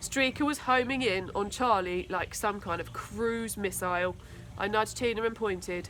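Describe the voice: A woman at a fairly slow pace, medium pitch, with ordinary pitch variation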